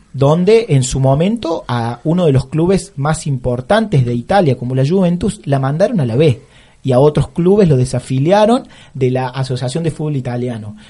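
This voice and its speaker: A man's dark, mellow, somewhat breathy voice with lively intonation. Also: moderate pace. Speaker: teacher and radio columnist. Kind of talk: radio column, casual commentary. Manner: halting, with frequent fillers.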